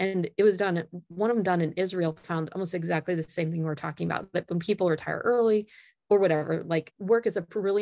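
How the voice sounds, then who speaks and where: The speaker has a Midwestern American accent and talks at a very fast pace. The intonation stays fairly even. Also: woman. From US Midwest, northern Indiana. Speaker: management professor. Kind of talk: interview.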